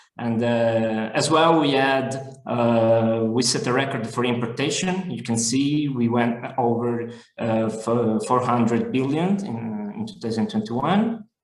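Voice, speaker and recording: Audible room echo surrounds a man speaking at a fairly slow pace. His pitch is medium and varies in an ordinary way. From Italy. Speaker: business development manager. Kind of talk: webinar presentation. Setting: online webinar. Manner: hesitant, many fillers.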